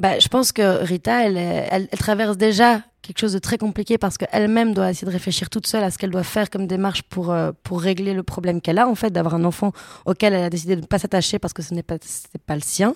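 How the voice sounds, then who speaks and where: Speaking very fast, a woman uses a medium pitch with ordinary pitch variation. The sound is dry and close with no echo, in a very clean recording with a silent background. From Belgium, Brussels. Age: 20s. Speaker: actress. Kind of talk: casual interview. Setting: hotel room.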